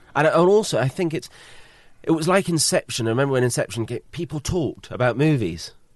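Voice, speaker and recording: A man with a British accent, his fairly high voice racing along at a very fast pace with lively intonation. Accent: British, remarked as cool. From Britain. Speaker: film composer. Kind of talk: casual interview. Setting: composer's studio.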